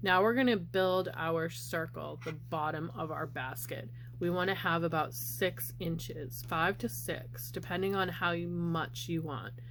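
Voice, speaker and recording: Audible room echo fills the space. A woman speaks at a fairly slow pace. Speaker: crochet crafter. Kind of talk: tutorial.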